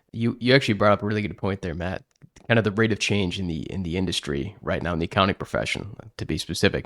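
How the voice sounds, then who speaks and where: A man with a fairly low pitch talks at a very fast pace with ordinary pitch variation. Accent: American. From Chicago. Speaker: podcast host, accounting industry speaker. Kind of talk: casual podcast chat.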